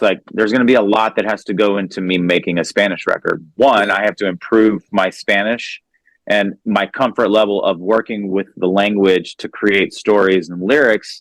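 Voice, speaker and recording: With an American accent, a man with an unremarkable speaking voice and a fairly low pitch speaks at a moderate pace. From Texas, Houston. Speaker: musician. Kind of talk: interview.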